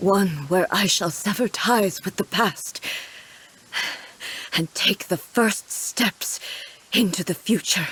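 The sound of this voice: In a cartoonish character voice, a woman speaks slowly with a fairly bright tone and a husky, rough edge. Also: medium pitch for a woman, ordinary pitch variation.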